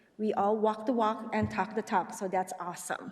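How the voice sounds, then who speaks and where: A woman's somewhat breathy, fairly high voice at a moderate pace. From Indonesia. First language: not English; Indonesian is a second language. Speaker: parent giving public comment. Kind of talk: public comment at a school board meeting. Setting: school board meeting. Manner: unscripted, with frequent hesitations.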